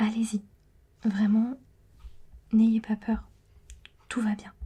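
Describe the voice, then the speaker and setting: A woman is whispering at a fairly slow pace. Her voice sounds somewhat breathy. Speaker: ASMR creator and tarot card reader. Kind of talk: ASMR tarot reading. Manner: whispering, partly dropping to normal voice; hesitant with many fillers.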